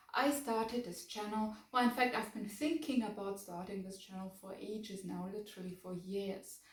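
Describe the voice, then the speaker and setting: Audible room echo fills the space as a woman with a German accent speaks with ordinary pitch variation. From Germany, Bavaria. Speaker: book vlogger. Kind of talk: casual vlog talk to camera. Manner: hesitant, many fillers.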